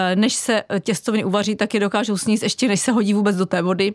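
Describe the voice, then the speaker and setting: A woman at medium pitch speaks with fairly even intonation in a dry, close sound with no echo. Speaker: artist. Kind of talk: radio interview. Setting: studio. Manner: fast.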